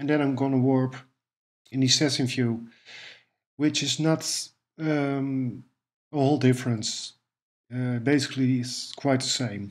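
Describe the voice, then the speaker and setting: A man with a Dutch accent speaks slowly-ish and in a flat monotone, leaving long, frequent pauses. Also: medium pitch for a man. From Netherlands. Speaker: music production tutor. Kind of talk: tutorial. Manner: hesitant, with fillers.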